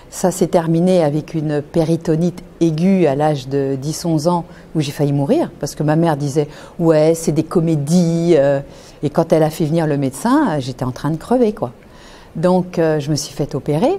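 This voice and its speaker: Her pitch is very deep and low for a woman, with ordinary pitch variation. This woman's tone is dark and mellow. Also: moderate pace. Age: 60s. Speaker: nutritionist. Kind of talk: interview testimony.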